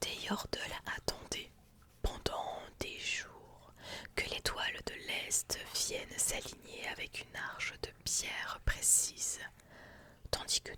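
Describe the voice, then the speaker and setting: A woman whispers in a calm tone at a very slow pace. Noticeable background noise sits behind her. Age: 20s. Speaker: ASMR streamer. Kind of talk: ASMR lore reading, relaxation. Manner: soft, calm, relaxing.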